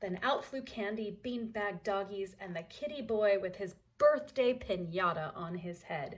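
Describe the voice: The clip is plain reading aloud.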